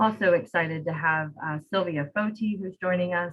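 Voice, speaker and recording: At a moderate pace, a woman with an unremarkable speaking voice keeps a fairly low pitch and fairly even intonation. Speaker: program host. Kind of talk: event introduction.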